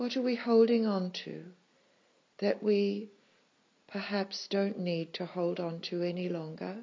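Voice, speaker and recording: A woman with a medium pitch talks in a calm, soothing tone with fairly even intonation and long, frequent pauses. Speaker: meditation teacher. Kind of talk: guided meditation. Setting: live in a room with an audience. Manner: slow, tender, soothing; calm, unhurried, with long pauses.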